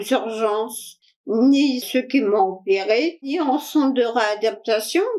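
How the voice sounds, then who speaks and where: This woman's pitch is high and her intonation lively. She speaks at a very slow pace. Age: 60s. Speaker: interviewee with vaccine injury. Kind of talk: testimony. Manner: halting.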